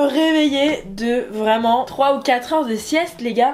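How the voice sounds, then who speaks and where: Over music in the background, a woman speaks at a fairly slow pace with a high pitch. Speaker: youtuber. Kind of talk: casual vlog chat.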